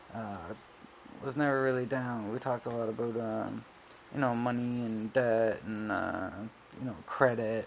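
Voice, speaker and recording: A man's medium-pitched voice at a moderate pace, fairly even in intonation, with long, frequent pauses. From Canada, Ontario. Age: 20s. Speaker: video blogger. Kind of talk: personal testimony. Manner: halting, many fillers.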